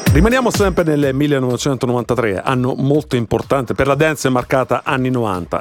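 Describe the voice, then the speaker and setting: A man with a medium-pitched voice is heard through noticeable background noise. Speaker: radio host. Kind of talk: radio show interview.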